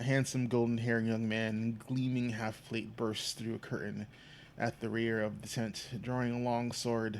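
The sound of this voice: An unforced reading voice carries the text.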